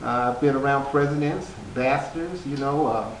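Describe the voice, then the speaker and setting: Relaxed tone at a moderate pace, fairly even intonation, noticeable background noise and audible room echo. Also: man. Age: 60s. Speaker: author. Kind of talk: interview. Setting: stage. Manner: relaxed, conversational with many fillers.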